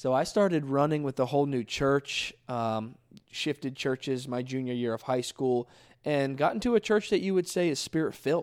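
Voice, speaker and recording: A man's ordinary speaking voice, fairly high in pitch with ordinary pitch variation, at a moderate pace, on a very clean recording with a silent background and a dry, close sound without echo. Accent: American. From South Florida. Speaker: youth pastor and podcast co-host. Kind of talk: casual chat and testimony.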